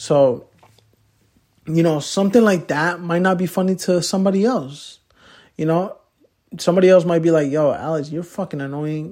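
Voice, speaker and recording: Spoken with an American accent in a dark, mellow tone, with long, frequent pauses. The recording is very clean, with a silent background. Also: man, high pitch for a man, ordinary pitch variation, moderate pace. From Poughkeepsie, New York, US. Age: young. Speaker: podcast host. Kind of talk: casual solo podcast talk. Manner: filler-heavy, repetitive.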